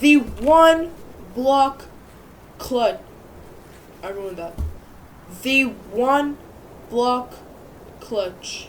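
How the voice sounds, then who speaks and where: A woman speaks at a high pitch with very wide pitch swings. Noticeable background noise and audible room echo surround her. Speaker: gaming YouTuber. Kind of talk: gameplay tutorial. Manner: casual, filler-heavy; stuttering, self-correcting.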